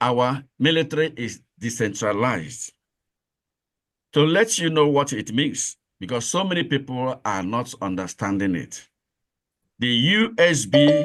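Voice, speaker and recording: Over music in the background, a man speaks at a fairly slow pace. His medium pitch carries lively intonation. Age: 60s. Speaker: separatist movement official. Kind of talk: address to supporters.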